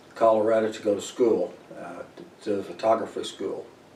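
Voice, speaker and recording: A man with an American accent speaks at a moderate pace in a fairly low pitch, with audible room echo and noticeable background noise. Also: big swings in loudness. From Missouri, US Midwest. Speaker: Air Force veteran. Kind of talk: oral history interview. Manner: halting, many fillers.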